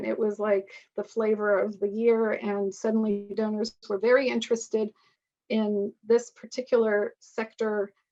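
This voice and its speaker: An ordinary speaking voice from a woman, fairly high in pitch. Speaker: author and lecturer on partnership structures. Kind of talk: webinar lecture with Q&A.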